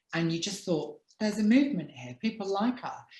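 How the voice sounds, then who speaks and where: Marked by vocal fry and a dark, mellow tone, a woman's medium-pitched voice moves through very wide pitch swings. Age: 40s. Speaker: talk show host and author. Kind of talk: casual chat.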